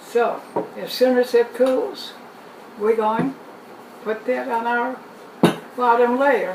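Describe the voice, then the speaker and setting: A woman at a high pitch, very slow and with long, frequent pauses, her intonation fairly even over noticeable background noise. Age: 90s. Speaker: home cook, cooking video host. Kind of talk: cooking demonstration to camera. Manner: friendly, relaxed, conversational.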